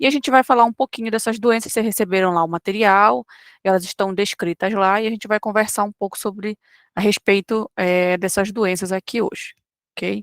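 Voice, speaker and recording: In a dry, close sound with no echo, a woman uses a plain, everyday voice at a medium pitch, a moderate pace and ordinary pitch variation. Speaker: online course teacher. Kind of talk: lecture. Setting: live online class.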